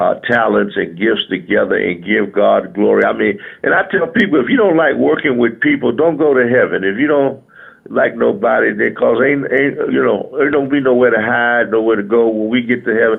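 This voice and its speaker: At a moderate pace, a man talks with very even loudness. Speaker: gospel musician. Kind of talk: radio interview. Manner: animated.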